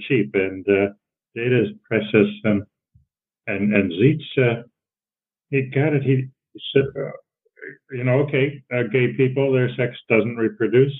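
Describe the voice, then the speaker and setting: The speaker is a man with a Midwestern accent. He leaves long, frequent pauses. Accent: American Midwest. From US Midwest, Cleveland. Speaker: social psychology professor. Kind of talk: interview conversation. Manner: halting.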